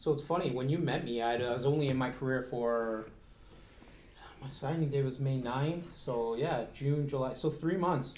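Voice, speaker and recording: Fairly high male voice with normal pitch movement, a medium tempo and noticeable room reverb. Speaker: financial advisor. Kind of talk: casual interview chat. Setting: studio recording, streamed live. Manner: loud.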